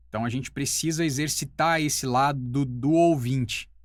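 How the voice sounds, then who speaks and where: Here is an unremarkable speaking voice, its pitch varying in an ordinary way. The background is silent on this very clean recording. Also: man. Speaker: voice-over artist and teacher. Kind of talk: casual talk to camera.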